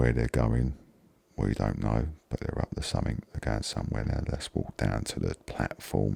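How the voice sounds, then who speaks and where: With a Cockney accent, a man speaks at a moderate pace in a very deep, low voice with fairly even intonation. The sound is dry and close with no echo, though noticeable background noise is present. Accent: Cockney (London). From London, England. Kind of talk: ASMR gaming commentary.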